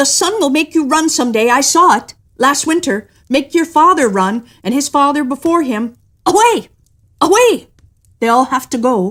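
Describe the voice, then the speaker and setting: Pitched high, this put-on character voice moves at a moderate pace. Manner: barking, gruff.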